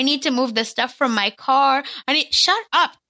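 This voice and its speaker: At a fairly slow pace, a woman projects a raised voice with a high pitch and a bright, sharp tone. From India, moved to US. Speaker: guest, former reality TV cast member. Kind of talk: casual chat.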